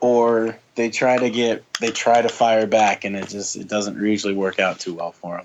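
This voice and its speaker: At a fairly slow pace, a man speaks with an American accent. His pitch is medium and his intonation fairly even. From US Pacific Northwest, Portland, Oregon. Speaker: professional wrestler. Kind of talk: casual chat. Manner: loud.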